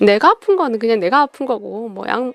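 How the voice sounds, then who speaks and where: The sound is close and dry, without any echo. A woman talks at a high pitch. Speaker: radio-style talk host. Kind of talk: casual monologue.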